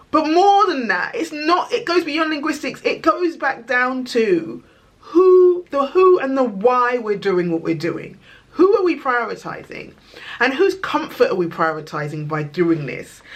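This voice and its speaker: Over noticeable background noise, a woman with a London accent speaks at a fairly slow pace in a high pitch, with an animated tone and very wide pitch swings. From England, East London. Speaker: video blogger. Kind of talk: casual monologue to camera.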